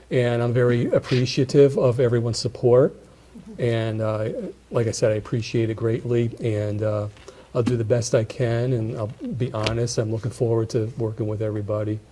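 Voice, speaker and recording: With noticeable background noise, a man of medium pitch speaks at a moderate pace in a monotone, flat delivery. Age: 60s. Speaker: newly sworn-in village board member. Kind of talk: public meeting remarks. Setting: village board meeting room. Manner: halting.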